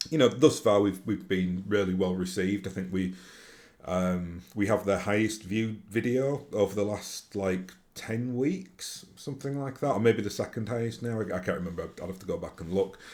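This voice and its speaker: A man with a strong Yorkshire accent, fairly low pitch and ordinary pitch variation at a moderate pace. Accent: broad Yorkshire. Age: 40s. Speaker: YouTuber and tabletop gaming podcaster. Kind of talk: casual vlog monologue. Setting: home recording to camera. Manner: hesitant, many fillers and restarts.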